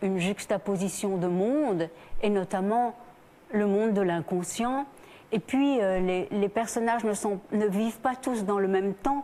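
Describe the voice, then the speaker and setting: Her dark, mellow tone sits at a medium pitch as a woman speaks at a fairly slow pace with ordinary pitch variation. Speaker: actress and singer. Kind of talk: TV talk show interview answer.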